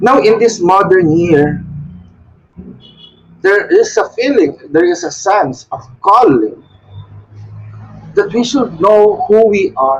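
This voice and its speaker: Speaking very slowly with long, frequent pauses, a man with a high pitch and a Filipino accent uses lively intonation. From Philippines. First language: Tagalog. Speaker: Wiccan shrine leader. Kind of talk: devotional talk. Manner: halting.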